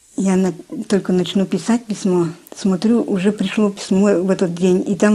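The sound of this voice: Speaking at a moderate pace with fairly even intonation, a woman has a medium pitch and a dark, mellow tone with a slightly husky edge.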